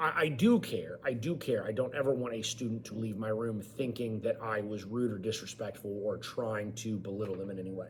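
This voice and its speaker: A man speaking at a fairly quick pace with hardly any pauses, ordinary pitch variation, and audible room echo. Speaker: college government instructor and high school teacher. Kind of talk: online lecture. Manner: loud; informal.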